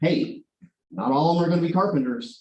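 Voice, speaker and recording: Talking at a very fast pace, a man with a dark, mellow tone is heard with audible room echo. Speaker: carpentry instructor. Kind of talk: presentation to a board. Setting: board meeting.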